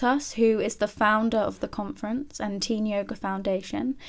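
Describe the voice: Fairly level intonation from a woman at a moderate pace.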